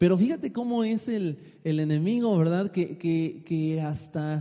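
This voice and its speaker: An animated man with a high pitch talks at a fairly slow pace with ordinary pitch variation. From Mexico. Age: 30s. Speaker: lay preacher. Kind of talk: sermon. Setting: church.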